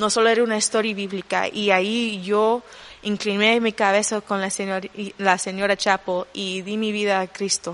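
The woman's voice sits at a medium pitch with monotone, flat intonation. She talks at a moderate pace. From Honduras. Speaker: youth leader. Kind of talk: interview. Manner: halting.

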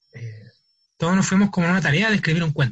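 A man speaks with a Chilean accent. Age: young. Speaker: theatre artist. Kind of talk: interview. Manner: halting.

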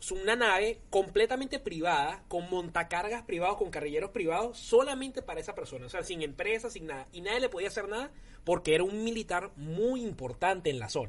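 The speaker barely pauses at all. The pace is fairly quick. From Venezuela, Ciudad Bolívar. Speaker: comedian. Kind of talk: casual chat.

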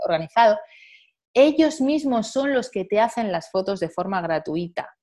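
Over a quiet background, a woman with a plain, everyday voice speaks at a moderate pace with lively intonation. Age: 40s. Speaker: model and journalist. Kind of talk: interview conversation.

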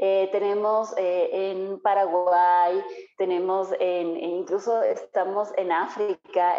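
Medium-pitched female speech with a dark, mellow tone. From Ambato, Ecuador (highlands). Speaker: entrepreneur, cosmetologist. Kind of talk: interview. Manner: halting, many fillers.

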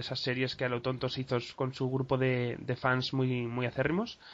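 A man speaks in a medium pitch. Noticeable background noise runs behind him. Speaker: podcast host. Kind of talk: casual chat.

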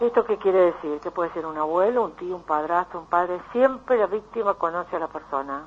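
In a Rioplatense accent, a woman with a fairly low pitch and ordinary pitch variation talks at a fairly quick pace with hardly any pauses. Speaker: psychologist. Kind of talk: radio interview.

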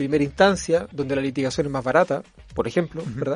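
Speaking at a very fast pace, a man talks with a Chilean accent. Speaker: constitutional lawyer and law professor. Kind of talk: interview.

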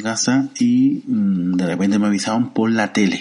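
Someone speaks with a Canarian accent over noticeable background noise. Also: man. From Canary Islands, Santa Cruz de Tenerife. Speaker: podcast host. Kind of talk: solo commentary podcast. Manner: halting, many fillers.

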